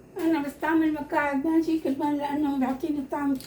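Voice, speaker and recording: Her pitch high, a woman delivers her words with monotone, flat intonation. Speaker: home cooking video host. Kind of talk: cooking tutorial. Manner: halting, repeats words.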